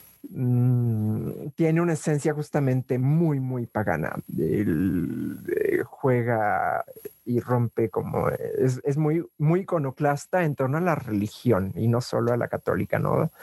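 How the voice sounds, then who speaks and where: A man talks very slowly, his voice sounding dry and close with no echo. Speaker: drag performer. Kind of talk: interview testimony. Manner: halting.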